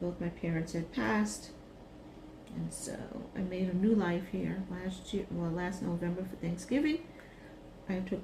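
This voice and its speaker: With an American accent, a woman talks in a relaxed tone at a fairly low pitch with ordinary pitch variation, and audible room echo surrounds her voice. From Brooklyn, New York. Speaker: retired teacher, craft video creator. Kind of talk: casual craft vlog chat. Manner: slow, relaxed.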